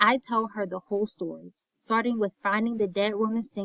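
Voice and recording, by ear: Reading aloud in a natural voice, with fairly even intonation over a quiet background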